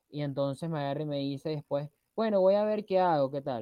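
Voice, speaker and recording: In a Venezuelan accent, a man with a fairly high pitch speaks at a moderate pace with ordinary pitch variation. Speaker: podcast co-host. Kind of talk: casual chat.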